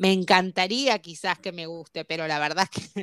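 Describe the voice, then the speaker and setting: In a Rioplatense accent, a woman speaks at a moderate pace with ordinary pitch variation, her voice dry and close with no echo on a very clean recording against a silent background. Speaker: podcast co-host. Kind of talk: casual chat.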